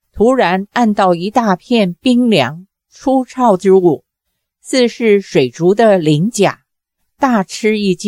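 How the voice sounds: Against a quiet background, a natural reading voice comes through with ordinary pitch variation.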